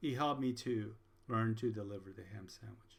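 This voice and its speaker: A man talks with a Spanish accent. His pitch varies in an ordinary way. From Puerto Rico. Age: 60s. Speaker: college instructor. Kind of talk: lecture. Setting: recorded video lecture.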